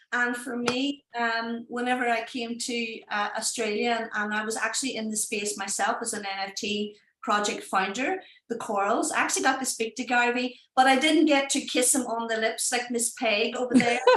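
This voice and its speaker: A woman speaks in a Northern Irish accent with a fairly high pitch and ordinary pitch variation. Her pace is moderate, with hardly any pauses. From Northern Ireland, Derry. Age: 30s. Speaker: NFT project founder. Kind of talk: live stream presentation. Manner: animated.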